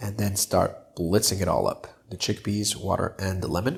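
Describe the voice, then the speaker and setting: A man's fairly low, somewhat breathy voice at a moderate pace, with fairly even intonation, on a very clean recording with a silent background. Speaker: cooking YouTuber. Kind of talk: cooking tutorial. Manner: casual, filler-heavy.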